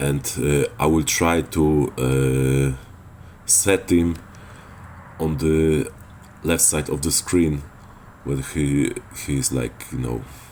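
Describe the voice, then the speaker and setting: A man with a Polish accent, very deep and low in pitch, at a very slow pace with long, frequent pauses and fairly even intonation. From Poland. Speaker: gaming video creator. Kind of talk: tutorial. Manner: hesitant, many filler sounds.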